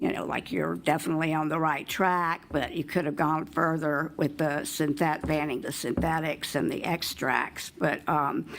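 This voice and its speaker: In a Southern US accent, a woman with vocal fry talks at a moderate pace in a very deep, low pitch and a monotone, flat intonation, on a very clean recording with a silent background. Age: 70s. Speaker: member of the public testifying. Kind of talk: public testimony. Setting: legislative committee hearing room. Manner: hesitant, with many fillers.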